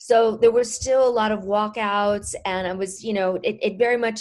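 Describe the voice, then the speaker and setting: This woman has a plain, everyday voice at medium pitch. She talks at a moderate pace with fairly even intonation. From Mexico, moved to US as a child. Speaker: healer and author. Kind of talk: interview.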